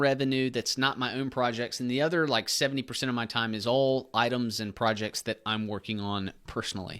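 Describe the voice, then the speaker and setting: A Southern accent on a very clean recording with a silent background. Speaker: online business YouTuber. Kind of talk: casual tutorial. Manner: casual, filler-heavy.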